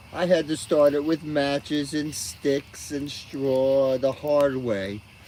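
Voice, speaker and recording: A man speaks very slowly as noticeable background noise carries on around him. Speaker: live streamer. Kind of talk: casual live stream chat with viewers. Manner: loud.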